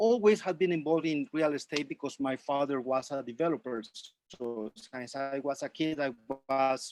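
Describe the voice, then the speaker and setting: The speaker talks at a moderate pace in a Colombian accent. The sound is dry and close, with no echo. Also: man. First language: Spanish. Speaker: realtor, presenter. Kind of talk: webinar presentation. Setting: video call.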